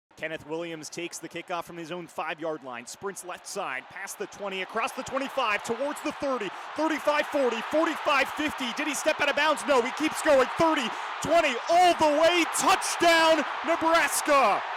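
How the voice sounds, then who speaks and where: A raised, projected voice at a moderate pace, with very wide pitch swings and big swings in loudness. Noticeable background noise sits behind it. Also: man, extremely high pitch for a man. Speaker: sports play-by-play announcer. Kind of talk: radio sports play-by-play.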